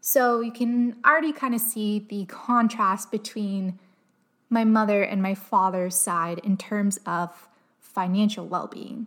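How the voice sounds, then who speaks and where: A woman with a Canadian accent speaks at a fairly slow pace in a medium pitch with ordinary pitch variation. It is an ordinary speaking voice. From Canada, Windsor, Ontario. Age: 20s. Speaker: podcast host. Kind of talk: solo personal storytelling podcast.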